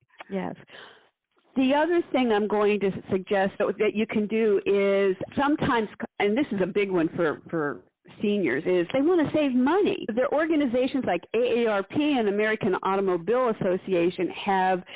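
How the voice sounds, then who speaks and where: An ordinary speaking voice moves at a moderate pace with lively intonation. Its loudness stays very even. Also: woman. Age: 60s. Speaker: podcast host, former nurse. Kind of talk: casual chat.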